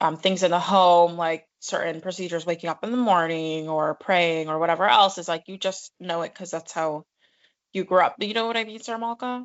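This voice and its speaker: A woman with a strong New York accent talks at a fairly quick clip in a fairly low pitch, her loudness swinging widely while her pitch varies in an ordinary way. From New York City. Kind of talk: casual chat.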